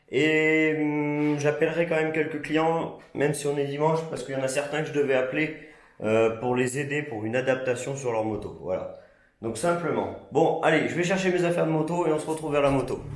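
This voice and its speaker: A man at fairly high pitch and moderate pace, fairly even intonation, with noticeable background noise and audible room echo. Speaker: motorcycle vlogger and parts seller. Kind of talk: casual vlog.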